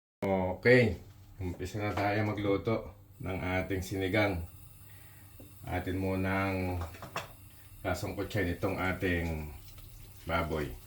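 Audible room echo surrounds a very slow delivery with fairly even intonation and long, frequent pauses. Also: man. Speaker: cooking vlogger. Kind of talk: cooking tutorial vlog; personal reflection. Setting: home kitchen. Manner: casual, conversational.

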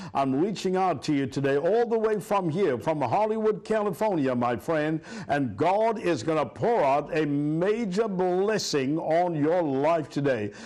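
The background is quiet. A man speaks fairly slowly with lively intonation. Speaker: pastor. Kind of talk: sermon. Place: studio.

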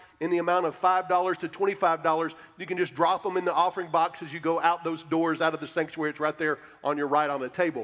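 A man speaks at a high pitch and a fairly quick pace with monotone, flat intonation. Faint music plays behind him. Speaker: pastor. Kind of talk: church announcements. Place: church.

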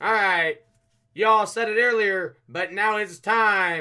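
A man's raised, projected voice with a bright, sharp tone on a very clean recording with a silent background. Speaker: trading card breaker. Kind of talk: live stream card break commentary. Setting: live stream studio.

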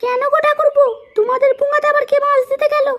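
A woman performs a cartoonish character voice, pitched extremely high. She delivers it at a fairly quick pace in a monotone, flat intonation.

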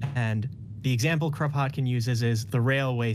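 The voice is somewhat breathy, moving at a moderate pace with ordinary pitch variation over light background noise. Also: man. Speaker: caller. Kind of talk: conversational storytelling.

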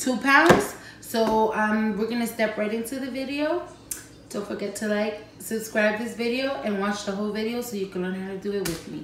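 A woman talks at a moderate pace. Audible room echo and noticeable background noise surround her voice. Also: ordinary pitch variation. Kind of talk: casual cooking tutorial. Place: kitchen. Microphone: camera far.

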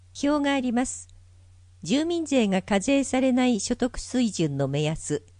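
Over a quiet background, a woman speaks at a high pitch and a fairly slow pace, her pitch swinging very widely. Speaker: volunteer narrator for visually impaired. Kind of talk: reading aloud. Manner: formal.

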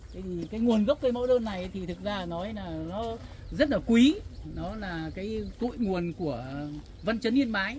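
A woman's dark, mellow voice with vocal fry, lively intonation and big swings in loudness, fairly slow, dry with no echo, over light background noise. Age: 70s. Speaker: plant enthusiast; plant nursery visitor or guide. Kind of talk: casual interview. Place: garden.

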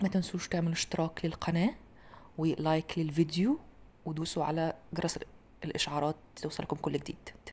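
Somewhat breathy and fairly low-pitched, a woman speaks in a monotone, flat intonation at a moderate pace over light background noise. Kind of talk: tutorial. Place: kitchen.

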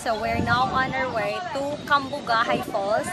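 Loud background noise surrounds a woman whose voice is dry, with no echo at all. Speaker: travel vlogger. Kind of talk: casual vlog chat. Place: street. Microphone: phone near.

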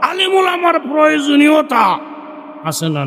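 A man speaks with lively intonation. The audio has audible room echo and noticeable background noise. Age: 80s+. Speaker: Islamic preacher. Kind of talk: sermon. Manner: animated.

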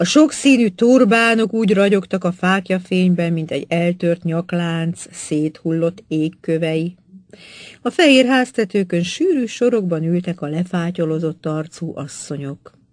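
The delivery has a dramatic tone at a fairly slow pace. The background is quiet. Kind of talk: literary audiobook reading, scripted narration of a novel chapter. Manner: measured, even-paced, formal storytelling delivery; rich, vivid descriptive narration with dramatic build in climactic passages.

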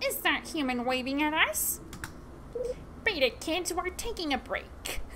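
A put-on character voice with a high pitch moves at a moderate pace through loud background noise. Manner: cawing, gruff.

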